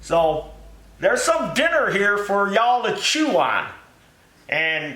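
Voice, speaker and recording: Amid noticeable background noise and audible room echo, a man with a high pitch speaks in a raised, projected voice. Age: 60s. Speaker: small engine repair shop owner. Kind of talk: casual video commentary. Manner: folksy, conversational.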